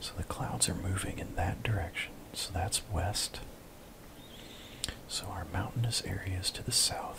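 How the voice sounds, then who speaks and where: Whispering in a relaxed tone, the speaker leaves long, frequent pauses over noticeable background noise. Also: fairly slow pace. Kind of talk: ASMR gameplay commentary. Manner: soft-spoken, relaxed.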